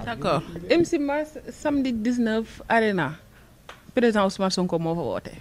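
A woman speaks at a moderate pace with a fairly high pitch and very wide pitch swings, over light background noise. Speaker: host. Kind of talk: casual interview chat. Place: studio.

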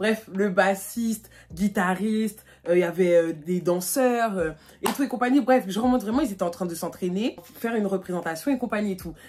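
Over light background noise, a woman talks at a fairly quick pace in an animated tone with ordinary pitch variation. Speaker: YouTuber; vlogger. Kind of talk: storytime. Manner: casual, many fillers. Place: home room. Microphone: phone near.

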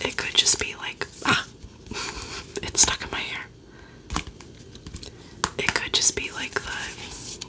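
Under loud background noise, a soft-spoken woman whispers at a fairly slow pace, leaving long, frequent pauses. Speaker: beauty content creator. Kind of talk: casual review chat. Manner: soft close-mic ASMR whisper. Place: home room. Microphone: studio mic.

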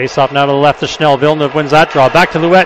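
Noticeable background noise and a dry sound with no echo. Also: man. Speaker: hockey play-by-play announcer. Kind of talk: live sports commentary. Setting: arena broadcast, game in progress. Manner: fast, clipped play-by-play; excitable on goals, rising pitch. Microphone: headset.

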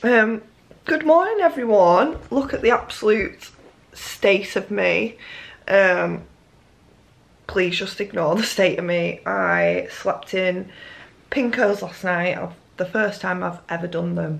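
A woman with a British accent talks at a very slow pace. She leaves long, frequent pauses. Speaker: vlogger. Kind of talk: casual vlog chat.

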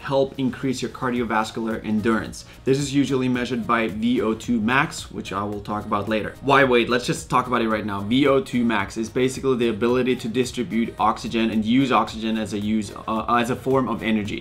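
A man speaks with hardly any pauses over light background noise. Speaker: fitness coach. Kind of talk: explainer vlog. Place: home room.

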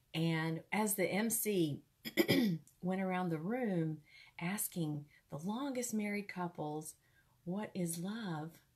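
The speaker is a woman. Her pitch rises and falls with lively movement. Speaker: ministry host sharing a testimony. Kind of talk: casual storytelling sermon. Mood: warm, conversational. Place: home room. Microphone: earbuds.

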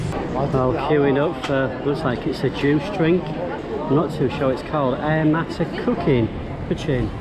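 Over loud background noise, a fairly high-pitched man speaks at a fairly slow pace with ordinary pitch variation. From UK. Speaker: travel vlogger. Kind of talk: travel vlog narration. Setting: outdoors. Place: market. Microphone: phone near.

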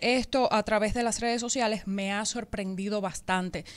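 A woman speaks at a fairly high pitch. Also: quiet background. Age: 30s. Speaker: radio co-host. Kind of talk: personal statement on radio. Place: studio. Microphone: studio mic.

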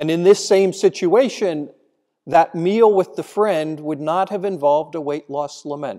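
Against a quiet background, a man with a high pitch speaks in a solemn tone at a fairly slow pace. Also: ordinary pitch variation. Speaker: priest giving homily. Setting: church. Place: church. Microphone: podium.

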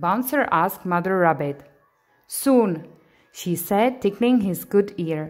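The speaker is doing plain reading aloud with lively intonation. The background is quiet.

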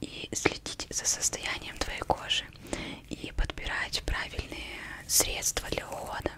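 A soft-spoken woman whispering at a very slow pace over noticeable background noise. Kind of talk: soft-spoken role-play talk. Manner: soft intimate ASMR whisper. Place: home room. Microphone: studio mic.

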